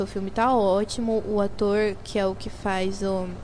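Speaking fairly slowly, this woman has a dark, mellow tone. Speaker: student radio host. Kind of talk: scripted intro segments mixed with casual chat.

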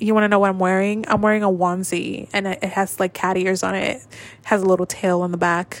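Very fast, flat, monotone delivery with big swings in loudness. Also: woman, medium pitch for a woman. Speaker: podcast host. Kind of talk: casual solo chat. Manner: self-conscious, rambling.

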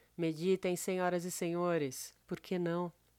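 A woman with a medium pitch and a dark, mellow tone speaks at a moderate pace. The recording is very clean, with a silent background. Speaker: podcast host. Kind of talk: scripted narration.

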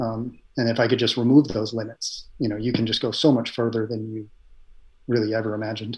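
A man speaks at a fairly quick pace in a somewhat breathy voice. His medium pitch stays in a flat monotone. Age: 40s. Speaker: endurance cyclist and software engineer. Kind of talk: casual interview. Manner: hesitant, many fillers.

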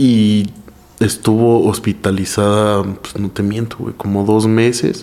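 A man speaks at a very slow pace. His intonation is flat and monotone. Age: 20s. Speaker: stand-up comedian. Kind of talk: casual chat.

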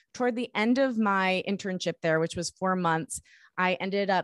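A woman with an American accent talks at a moderate pace in an unremarkable speaking voice, her fairly low pitch captured with a dry, close sound with no echo on a very clean recording over a silent background. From US Midwest, suburbs of Detroit, Michigan. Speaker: podcast producer, host and singer-songwriter. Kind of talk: interview.

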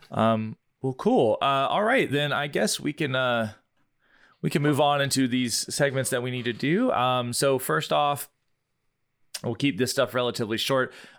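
A man with a normal speaking voice at a medium pitch talks at a moderate pace with ordinary pitch variation, recorded very cleanly against a silent background. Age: 30s. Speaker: podcast host. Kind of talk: casual chat.

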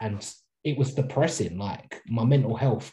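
A man speaks with a dark, mellow tone that is somewhat breathy. His intonation is fairly even and his pace fairly slow. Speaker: podcast co-host. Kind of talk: casual chat. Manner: casual, chatty.

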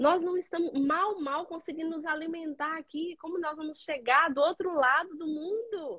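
A woman's extremely high pitch with ordinary pitch variation and hardly any pauses. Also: moderate pace. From Minas Gerais, Brazil (Padre Paraíso / Caraí). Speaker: cleaning business owner. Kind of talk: live-stream interview.

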